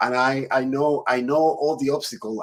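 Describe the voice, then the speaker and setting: A man speaks with a Spanish accent. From Dominican Republic. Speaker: podcast host. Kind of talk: interview.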